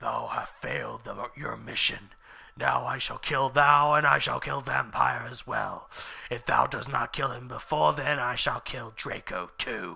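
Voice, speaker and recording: In a put-on character voice, a raspy man with a medium pitch talks at a moderate pace. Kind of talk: archaic, formal. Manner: evil, menacing.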